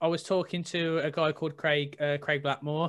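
A man talks at a high pitch. His intonation is monotone and flat. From Tipton, near Birmingham, England. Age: 20s. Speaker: 3D artist and podcast host. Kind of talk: casual interview chat.

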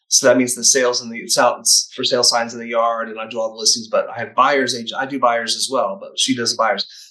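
Talking at a very fast pace, a man with a slight Southern US accent keeps a medium pitch and monotone, flat intonation while his loudness swings widely. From Chattanooga, Tennessee, US South. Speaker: real estate team leader. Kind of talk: casual interview.

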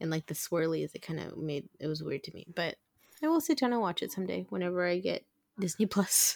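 A plain, everyday voice moves at a fairly quick pace with lively intonation, in a dry, close sound with no echo. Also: woman, fairly low pitch for a woman. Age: 40s. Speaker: podcast co-host. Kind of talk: casual chat.

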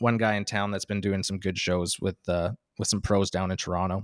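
On a very clean recording with a silent background and a dry, close sound with no echo, a man with a slight northern Ontario accent talks at a moderate pace and fairly low pitch. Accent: Canadian, slight northern Ontario. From northern Ontario, Canada. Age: 30s. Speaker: stand-up comedian. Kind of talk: casual interview chat.

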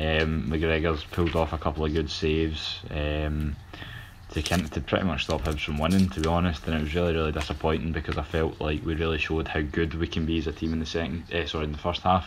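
Very fast and very deep, a man talks in a Scottish accent. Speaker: football panelist. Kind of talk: casual chat.

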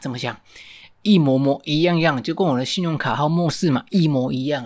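At a moderate pace, the voice shows ordinary pitch variation in a very clean recording with a silent background. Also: man. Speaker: podcast host. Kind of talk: storytelling monologue. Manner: halting, many fillers.

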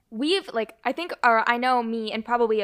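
Fairly quick, fairly high speech from a woman in a normal speaking voice. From Toronto, Canada. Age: young. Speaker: podcast host, student. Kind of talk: casual chat.

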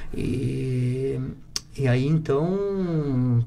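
A man is speaking. His voice has a medium pitch. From Santa Catarina, Brazil (rural interior). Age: 30s. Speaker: entrepreneur, plywood factory owner. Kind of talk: casual interview.

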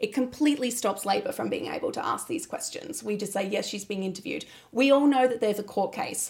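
Speaking at a very fast pace, a woman with an Australian accent uses a high pitch and lively intonation. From South Australia. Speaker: political commentator. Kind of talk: casual chat.

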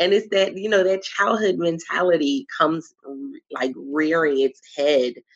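Lively intonation from a woman with a Philadelphia accent, her pitch fairly low and her pace fairly slow. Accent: Philadelphia American. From Philadelphia, US. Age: 30s. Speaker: women's empowerment coach and podcast host. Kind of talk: casual interview chat.

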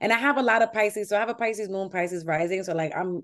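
A woman speaks at a very fast pace with a New York accent. Her pitch sits in the middle range and rises and falls in an ordinary way. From New York City (Washington Heights), Dominican family. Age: 30s. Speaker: comedian. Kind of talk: casual chat.

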